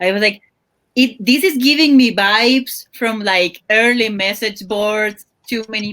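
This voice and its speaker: A woman with a non-native accent, a bright, sharp tone and fairly high pitch, at a very slow pace with ordinary pitch variation. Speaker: podcast guest. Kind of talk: casual chat.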